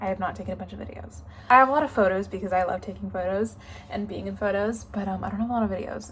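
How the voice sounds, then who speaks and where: A woman is speaking. She has an American accent. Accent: American accent, noticeable to locals. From United States. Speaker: student vlogger. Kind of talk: casual vlog talk to camera. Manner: casual, filler-heavy.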